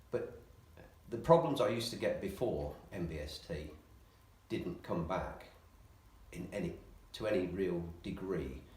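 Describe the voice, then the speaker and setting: An English-accented man speaks at a fairly slow pace. Audible room echo fills the recording. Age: 60s. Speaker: patient. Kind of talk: interview.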